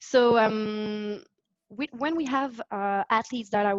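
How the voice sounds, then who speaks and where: Recorded with a dry, close sound with no echo, a woman speaks with a French Canadian accent at a fairly high pitch. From Quebec, French Canada. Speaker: physiotherapist. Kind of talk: interview. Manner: halting, hesitant.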